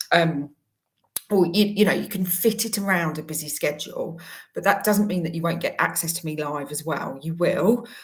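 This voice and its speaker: Speaking at a moderate pace, a woman has a fairly low, somewhat breathy voice. Her pitch varies in an ordinary way. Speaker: career coach. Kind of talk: promotional talk to camera.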